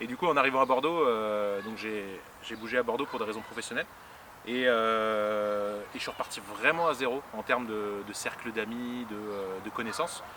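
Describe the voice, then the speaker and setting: A man speaks at a moderate pace with a medium pitch. His pitch varies in an ordinary way over noticeable background noise. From Paris region, France. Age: 30s. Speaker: improv actor. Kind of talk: interview. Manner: halting, many fillers.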